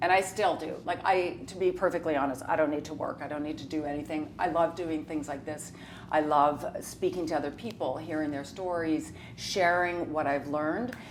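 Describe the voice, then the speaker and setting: A woman with a very deep, low pitch talks at a moderate pace with ordinary pitch variation. Audible room echo surrounds her voice. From Saskatchewan, Canada. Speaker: reality TV personality. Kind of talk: casual chat.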